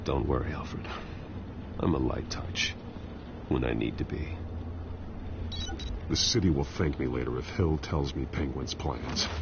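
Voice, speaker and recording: A man's put-on character voice at a moderate pace over loud background noise. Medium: machinima. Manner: low, terse, controlled.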